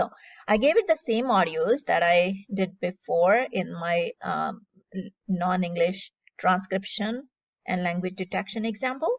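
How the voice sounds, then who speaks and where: Speaking with a Punjabi accent, a woman talks at a fairly slow pace. Her pitch sits in the medium range. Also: ordinary pitch variation. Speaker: AI tutorial YouTuber. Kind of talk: tutorial. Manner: casual with frequent fillers (um, uh).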